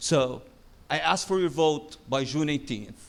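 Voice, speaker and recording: A man with a non-native accent speaks at a fairly high pitch. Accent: noticeable foreign. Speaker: city council candidate. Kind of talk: debate closing statement. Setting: stage with audience.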